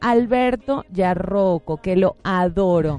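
A woman's voice with lively intonation. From Venezuela. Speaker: actress. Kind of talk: interview. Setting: radio studio with cameras.

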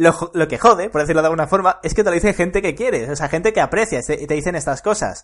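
A man speaks with a high pitch at a very fast pace. He leaves hardly any pauses. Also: ordinary pitch variation. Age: 20s. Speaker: podcast host, entrepreneur. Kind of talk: casual chat.

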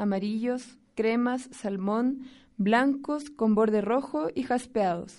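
Her pitch fairly high, a woman speaks at a very slow pace with ordinary pitch variation. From Chile. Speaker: community radio host. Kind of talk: radio presenting.

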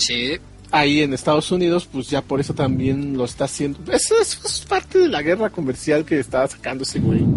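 Music in the background under a man's fairly quick speech. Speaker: gaming podcast co-host. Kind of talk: casual chat.

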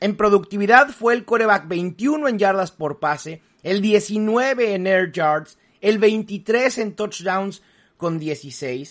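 A man's high-pitched voice with lively intonation over a quiet background. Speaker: fantasy football analyst. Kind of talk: solo podcast analysis.

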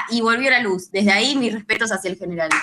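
A woman with a Rioplatense accent, a fairly high pitch and a bright, sharp tone. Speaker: radio co-host. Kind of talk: reading listener messages.

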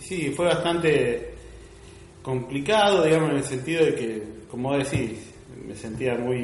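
Fairly slow, fairly high-pitched speech from a man, with ordinary pitch variation, noticeable background noise and audible room echo. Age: 30s. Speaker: church member. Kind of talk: testimony. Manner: halting.

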